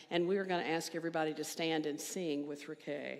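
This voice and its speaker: A woman is speaking. Her voice carries an audible room echo. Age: 60s. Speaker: minister. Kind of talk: church service welcome and announcements. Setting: church service with congregation.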